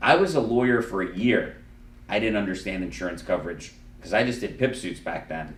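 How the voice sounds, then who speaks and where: A man's animated tone and lively intonation, with audible room echo. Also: fairly low pitch for a man, fairly quick pace. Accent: South Florida. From Miami, Florida. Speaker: lawyer and podcast host. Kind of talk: casual chat. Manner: loud.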